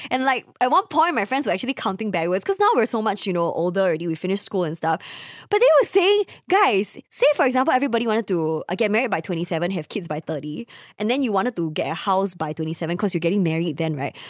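A woman with a Singaporean accent talks at a very fast pace, her medium-pitched voice full of lively intonation. The sound is dry and close, with no echo. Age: 20s. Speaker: podcast co-host. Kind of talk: casual chat.

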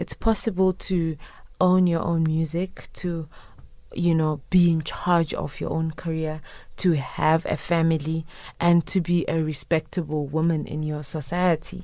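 At a fairly slow pace, a woman speaks in a monotone, flat voice with a fairly low pitch, in a very clean recording with a silent background. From Zimbabwe. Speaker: singer-songwriter. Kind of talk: interview. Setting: studio.

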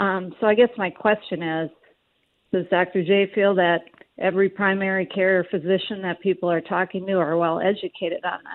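Medium in pitch, a woman with an unremarkable speaking voice talks at a moderate pace. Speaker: caller. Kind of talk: call-in question. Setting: phone call.

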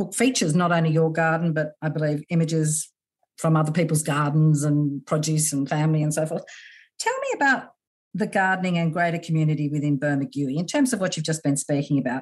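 A somewhat breathy woman with a fairly low pitch, a fairly quick pace and an Australian accent. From Australia, New South Wales. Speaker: podcast host. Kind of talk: interview conversation.

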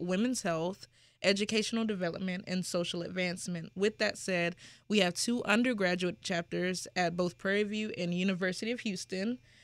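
The recording is very clean and the background silent. Pitch varies in an ordinary way as an unremarkable speaking voice goes along at a fairly quick pace. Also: woman. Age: 20s. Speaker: nonprofit founder. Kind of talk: interview.

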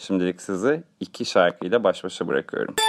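The voice moves at a moderate pace in a dry, close sound with no echo. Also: man. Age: 30s. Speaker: radio show host. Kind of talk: comedic monologue.

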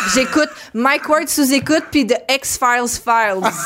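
A woman with a Quebec accent talks at a fairly slow pace and a high pitch with ordinary pitch variation, amid noticeable background noise. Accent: Québécois French. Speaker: comedian. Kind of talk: casual chat. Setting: studio.

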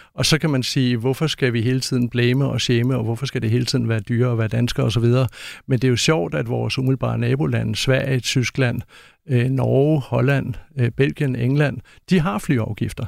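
A man speaks in a normal speaking voice at a moderate pace, with medium pitch and ordinary pitch variation. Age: 50s. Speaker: author and climate researcher. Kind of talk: interview.

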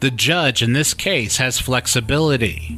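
A man's serious, fairly slow delivery at medium pitch, with very wide pitch swings over noticeable background noise. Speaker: crime reporter podcast host. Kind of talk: true-crime narration. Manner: measured, serious; steady, storytelling delivery.

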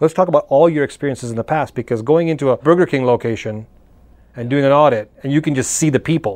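A man with a plain, everyday voice speaks at a fairly high pitch with lively intonation over a quiet background. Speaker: podcast host. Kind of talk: interview. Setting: studio.

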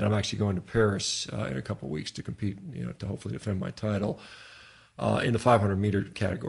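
A man with a fairly low pitch, vocal fry, lively intonation and a very fast pace. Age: 50s. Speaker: physician and rowing athlete. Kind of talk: casual interview. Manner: casual, frequent fillers.

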